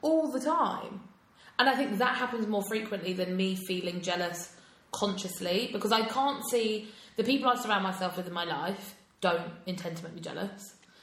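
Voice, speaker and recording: A woman's medium-pitched voice, showing ordinary pitch variation, moves at a moderate pace through noticeable background noise. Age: 20s. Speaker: podcast co-host. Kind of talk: casual chat.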